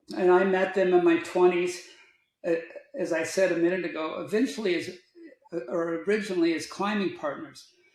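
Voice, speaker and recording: Speaking fairly quickly in an American accent with ordinary pitch variation and long, frequent pauses, this voice carries audible room echo. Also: man, high pitch for a man. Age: 70s. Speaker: outdoor adventurer and sustainability advocate. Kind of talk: podcast interview.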